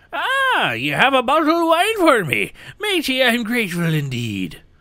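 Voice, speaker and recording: Using a put-on character voice, a man speaks at an extremely high pitch, raised and projected, at a moderate pace. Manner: jovial, pirate-like.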